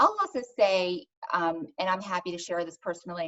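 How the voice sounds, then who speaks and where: A woman speaks with a fairly low pitch and ordinary pitch variation. It is an ordinary speaking voice. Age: 40s. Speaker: wellness founder. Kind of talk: interview.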